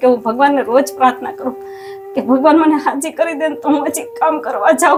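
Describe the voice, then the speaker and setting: With music playing in the background, a woman speaks in a high voice whose pitch swings very widely. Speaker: person seeking charity help. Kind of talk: emotional testimony.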